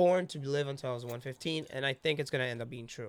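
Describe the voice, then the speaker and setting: A man with a fairly high pitch speaks with ordinary pitch variation on a very clean recording with a silent background. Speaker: actor. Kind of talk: casual chat. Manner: loud.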